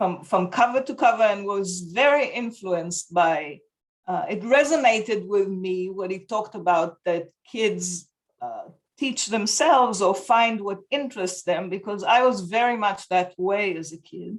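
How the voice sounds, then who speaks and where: Speaking at a fairly slow pace with an Israeli accent, a woman uses a medium pitch and lively intonation. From Israel (kibbutz). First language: Hebrew. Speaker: homeschooling parent. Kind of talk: interview. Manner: halting.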